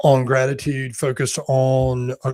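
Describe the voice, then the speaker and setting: A man speaks with a North Carolina accent. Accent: Southern US (North Carolina), self-described. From US South, North Carolina mountains and foothills. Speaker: executive search and leadership consultant. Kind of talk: panel interview.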